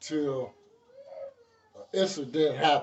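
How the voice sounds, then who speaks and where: A man's somewhat breathy voice sits at a fairly high pitch, varying in an ordinary way. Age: 60s. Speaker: former gang member. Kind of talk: interview. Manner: casual.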